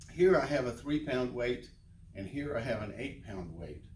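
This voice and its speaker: With lively intonation and a somewhat breathy quality, a man of medium pitch talks at a moderate pace amid audible room echo. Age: 70s. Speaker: fitness instructor. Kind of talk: tutorial. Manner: casual.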